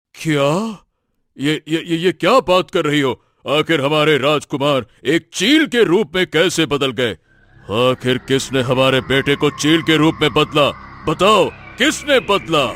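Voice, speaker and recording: A man does a cartoonish character voice at a fairly high pitch and moderate pace, his loudness very even, on a very clean recording with a silent background. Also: ordinary pitch variation, dry, close sound with no echo. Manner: regal, uses royal we.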